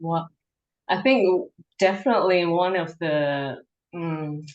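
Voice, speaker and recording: Here a woman speaks in a Cantonese accent. Her pitch sits fairly low and shifts an ordinary amount. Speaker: forest therapy presenter. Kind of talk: webinar Q&A.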